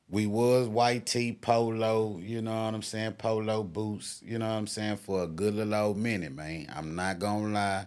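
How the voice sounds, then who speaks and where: In a relaxed tone, a man with an American accent speaks fairly low at a moderate pace, with fairly even intonation and hardly any pauses, on a very clean recording with a silent background. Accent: sounds country. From Houston, Texas. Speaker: podcast host. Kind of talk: casual chat. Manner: laid-back, relaxed.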